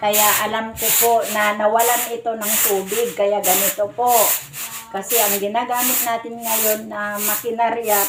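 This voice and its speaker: A woman's fairly high, monotone voice with flat intonation at a very slow pace, with audible room echo and noticeable background noise. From Cagayan, northern Philippines. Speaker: domestic helper and vlogger. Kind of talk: casual vlog tutorial. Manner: casual, polite with frequent po and guys.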